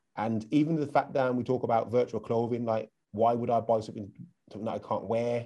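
A man's medium-pitched voice with an English accent, dark, mellow tone, fairly even intonation and a very fast pace. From England. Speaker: podcast host. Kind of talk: interview.

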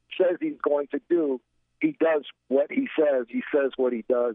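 Using a plain, everyday voice with an American accent, a man speaks at a fairly high pitch and a moderate pace with ordinary pitch variation. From US Midwest, Gary, Indiana. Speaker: political commentator. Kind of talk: political talk radio chat.

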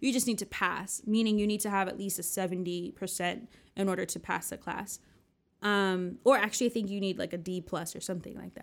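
In an American accent, a woman with a normal speaking voice and medium pitch talks at a fairly quick pace. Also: fairly even intonation. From US, New Jersey. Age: 30s. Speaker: podcast host. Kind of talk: casual personal monologue.

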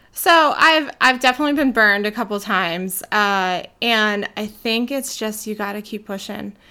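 A woman with an American accent speaks with a bright, sharp tone, a fairly high pitch and ordinary pitch variation. She leaves hardly any pauses on a very clean recording with a silent background. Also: moderate pace. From South Jersey, US. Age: 30s. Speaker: photographer and networking group founder. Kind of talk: casual interview chat.

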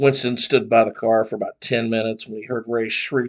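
Plain read-aloud speech, its intonation fairly even

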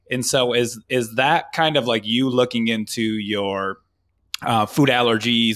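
A man speaks in an ordinary speaking voice with an American accent. His intonation is fairly even. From Michigan. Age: 30s. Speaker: podcast host. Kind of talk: casual chat.

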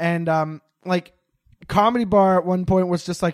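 The sound is dry and close with no echo as a high-pitched man speaks at a moderate pace with ordinary pitch variation. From Montreal, Quebec. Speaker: comedian. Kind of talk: casual chat. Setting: video call from parents' basement.

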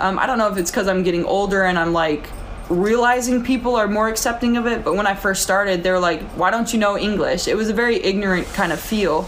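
A woman at medium pitch and very fast pace, with ordinary pitch variation, very even loudness and noticeable background noise. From South Dakota. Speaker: former pro basketball player. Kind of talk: casual interview.

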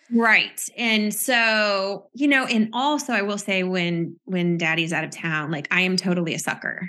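Intonation is lively and the tone bright and sharp. There are hardly any pauses. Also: woman, medium pitch for a woman. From US Midwest. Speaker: charity co-founder and president. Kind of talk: interview.

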